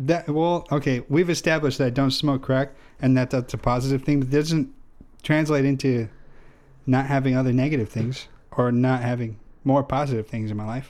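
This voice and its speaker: This man has a normal speaking voice with an American accent and a medium pitch. He talks at a fairly quick pace with fairly even intonation. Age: 20s. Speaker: podcast co-host. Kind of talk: casual chat.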